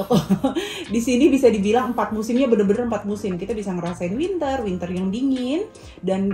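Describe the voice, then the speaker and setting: Over music in the background, a woman with a medium pitch speaks at a very fast pace with ordinary pitch variation. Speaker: family vlogger, mother. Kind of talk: casual family vlog chat.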